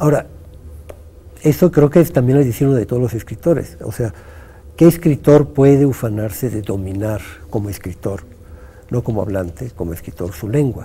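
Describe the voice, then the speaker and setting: Pausing long and often, a man speaks with very wide pitch swings. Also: medium pitch for a man, moderate pace. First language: Italian (speaking Spanish). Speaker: poet and writer. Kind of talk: interview.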